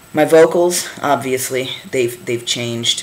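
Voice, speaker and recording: The speaker is a man going at a fairly slow pace. Noise is noticeable in the background. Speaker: vlogger and touring band musician. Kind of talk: casual video diary. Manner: halting, with many fillers.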